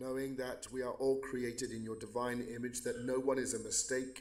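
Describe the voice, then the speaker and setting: Audible room echo surrounds a man with an English accent speaking at a moderate pace. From England. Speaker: pastor. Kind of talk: prayer. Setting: county court meeting.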